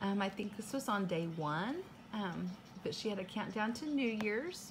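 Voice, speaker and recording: Lively intonation and a somewhat breathy quality mark this woman's voice amid noticeable background noise. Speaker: unboxing vlogger. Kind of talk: casual vlog chat. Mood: cheerful, grateful. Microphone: phone near.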